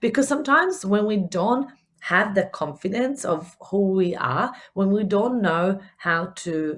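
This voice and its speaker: Lively intonation marks this woman's speech in an Italian accent. The recording is very clean with a silent background. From Italy. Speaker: business coach. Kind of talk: podcast talk. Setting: home recording. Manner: upbeat, casual.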